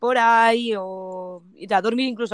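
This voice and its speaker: This is an unremarkable speaking voice from a woman, pitched fairly high. Her pitch varies in an ordinary way. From Spain, province of Toledo. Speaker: van traveler. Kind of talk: casual interview.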